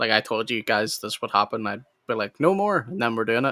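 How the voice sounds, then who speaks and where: Bright and sharp in tone, a man's medium-pitched voice moves at a fairly quick pace in dry, close sound with no echo. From Northern Ireland. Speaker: live stream host. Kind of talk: casual chat. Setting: live stream.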